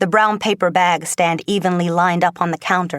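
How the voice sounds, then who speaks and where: Fairly low in pitch, a woman speaks at a fairly quick pace, the sound dry and close with no echo in a very clean recording with a silent background. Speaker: actress, voice actor. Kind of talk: book reading. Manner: energetic, playful.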